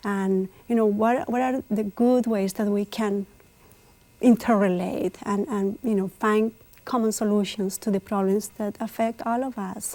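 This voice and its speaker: With a Spanish accent, a woman talks in a fairly even intonation. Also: fairly high pitch for a woman. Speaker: immigrant community figure. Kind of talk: TV interview.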